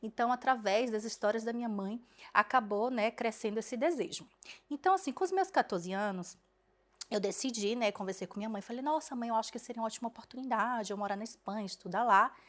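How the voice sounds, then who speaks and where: Talking at a fairly quick pace, a woman with a plain, everyday voice and fairly high pitch shows ordinary pitch variation. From Brazil, Bahia. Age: 20s. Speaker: dentist. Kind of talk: personal story vlog. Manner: casual, conversational.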